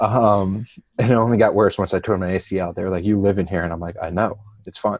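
Delivered in a normal speaking voice, the speech moves at a fairly quick pace with fairly even intonation. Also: man, fairly low pitch for a man. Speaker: athletic trainer. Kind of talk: casual interview chat.

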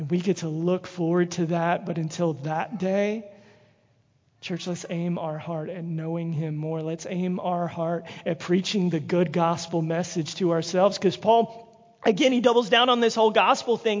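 A man in a Southern US accent, high in pitch, with ordinary pitch variation and a moderate pace. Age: 30s. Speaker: evangelist. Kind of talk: sermon. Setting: church.

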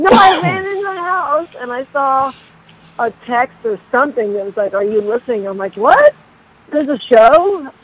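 The delivery comes at a moderate pace. Background noise can be noticed throughout. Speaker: caller to a podcast. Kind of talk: casual chat. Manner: animated.

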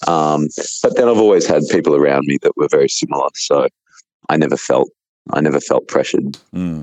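A man with an Australian accent talks at a fairly quick pace in a dry, close sound with no echo. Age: 30s. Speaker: natural bodybuilder and coach. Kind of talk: casual interview.

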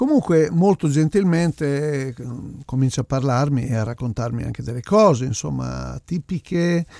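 A dark, mellow tone at a moderate pace, with big swings in loudness, ordinary pitch variation and a dry, close sound without echo. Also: man, fairly high pitch for a man. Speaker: podcast host, Latin music DJ/record scout. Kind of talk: storytelling monologue. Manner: casual, hesitant fillers.

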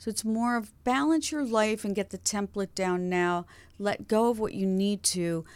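With a plain, everyday voice, a woman talks at medium pitch and a moderate pace, her pitch varying in an ordinary way, captured on a very clean recording against a silent background. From upstate New York. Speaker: clairvoyant coach. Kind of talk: interview.

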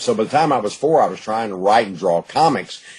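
A man speaks with an East Texas accent in a fairly low pitch. His pace is fairly quick and his intonation lively. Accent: East Texas Southern US. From East Texas, Gladewater. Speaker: author. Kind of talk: interview.

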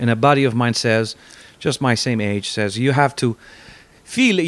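With an Italian accent, a man talks at a medium pitch. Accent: Italian-accented English, noticeable. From Italy. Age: 50s. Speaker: guitar gear maker and musician. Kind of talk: casual interview chat.

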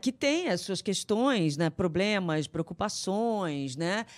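A woman's lively intonation comes through on a very clean recording with a silent background. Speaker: radio host. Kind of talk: interview.

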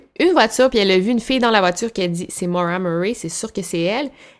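With a Quebec accent, a woman speaks in lively intonation. The recording is very clean, with a silent background. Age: 20s. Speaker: YouTuber. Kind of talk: casual interview.

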